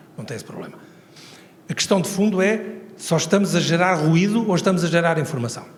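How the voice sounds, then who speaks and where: Audible room echo surrounds a man with a high pitch talking at a very fast pace. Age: 70s. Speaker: professor emeritus, transport engineering expert. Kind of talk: Q&A answer at a conference. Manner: conversational, informal fillers.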